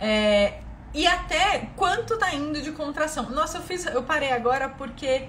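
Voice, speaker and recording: Audible room echo surrounds a woman speaking at a fairly slow pace. Her tone is animated and her intonation lively. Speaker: physiotherapist. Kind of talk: live stream Q&A lecture. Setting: live stream.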